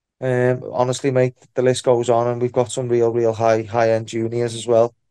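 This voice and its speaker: The voice has a dark, mellow tone and a monotone, flat intonation, moving at a moderate pace. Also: man, medium pitch for a man. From Liverpool, England. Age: 30s. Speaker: MMA fighter and coach. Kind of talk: casual interview. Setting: online video call.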